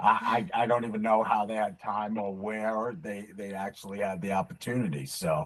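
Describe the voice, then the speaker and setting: This man has a fairly low voice with a Brooklyn accent. He keeps a moderate pace, hardly pauses, and shows ordinary pitch variation. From Brooklyn, New York. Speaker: military veteran. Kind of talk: casual interview chat.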